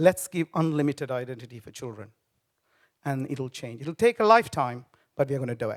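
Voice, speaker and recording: With a Tamil accent, a man speaks at a fairly quick pace with lively intonation and a fairly high pitch. The sound is dry and close, with no echo. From Sri Lanka. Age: 50s. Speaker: business founder. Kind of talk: speech. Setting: stage with audience.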